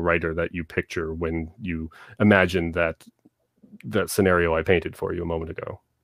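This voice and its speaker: Here a man speaks with a Canadian accent in a very deep, low pitch. His intonation is monotone and flat, and the recording is very clean with a silent background. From Southern Ontario, Canada. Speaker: author. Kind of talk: interview.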